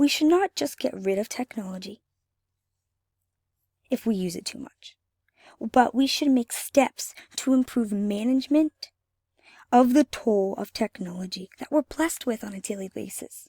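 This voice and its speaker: Speaking at a moderate pace with long, frequent pauses, a woman with a fairly high pitch and a dark, mellow tone uses lively intonation and big swings in loudness, recorded very cleanly with a silent background and a dry, close sound with no echo. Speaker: college student. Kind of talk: class presentation.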